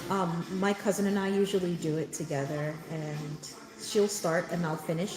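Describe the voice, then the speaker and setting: Noticeable background noise sits behind speech that moves at a moderate pace with ordinary pitch variation. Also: woman. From born in Jamaica, raised in New York. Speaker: mom content creator. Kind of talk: live stream chat. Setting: hair salon, live stream. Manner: loud.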